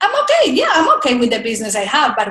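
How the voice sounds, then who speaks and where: This woman has a slight Spanish accent. Her intonation is lively. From Colombia. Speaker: speaker coach. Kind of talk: interview.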